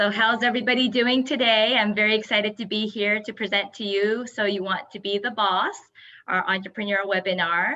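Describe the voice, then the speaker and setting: Her tone is bright and sharp, and her pitch is medium. The woman speaks at a moderate pace with fairly even intonation. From Japan, Yokohama. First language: Japanese. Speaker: entrepreneur. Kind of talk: webinar presentation.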